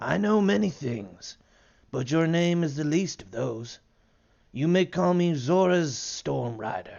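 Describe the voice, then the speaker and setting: A man puts on a character voice at a fairly high pitch, speaking at a fairly slow pace. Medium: read story. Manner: condescending, cryptic.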